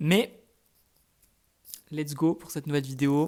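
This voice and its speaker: Here a man talks at a moderate pace with a fairly high pitch. His intonation is fairly even. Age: 20s. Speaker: student vlogger. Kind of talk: casual vlog. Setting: at home in apartment.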